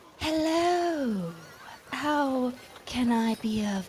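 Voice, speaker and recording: A female-sounding voice puts on a character voice pitched high. Clear background noise can be heard. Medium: actual play. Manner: polite, courteous.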